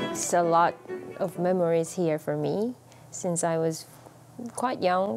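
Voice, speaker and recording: A woman speaks at a very slow pace in a Korean accent. Her tone is dark and mellow. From South Korea, Seoul. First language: Korean (speaking German). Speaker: orchestra violinist. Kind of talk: interview.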